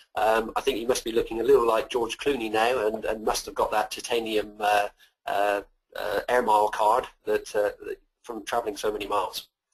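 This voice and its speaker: A man speaks with a West Country accent. His pace is moderate. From Bath, west of England. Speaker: webinar presenter.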